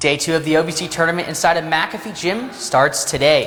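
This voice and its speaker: A man's high voice at a fairly quick pace, with ordinary pitch variation and noticeable background noise. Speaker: college TV sports and news anchor and reporter. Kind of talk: broadcast news anchor / reporter delivery.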